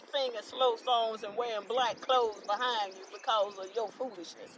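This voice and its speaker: A woman with a North Carolina accent, fairly high pitch, moderate pace, and noticeable background noise. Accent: Southern US, North Carolina. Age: 60s. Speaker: podcast co-host. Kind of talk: casual chat.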